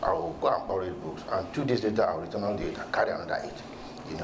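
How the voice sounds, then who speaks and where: Room echo can be heard around a man's voice, along with noticeable background noise. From Nigeria, Ibadan (southwest, Yoruba). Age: 70s. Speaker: professor. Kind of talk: interview. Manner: hesitant, many fillers.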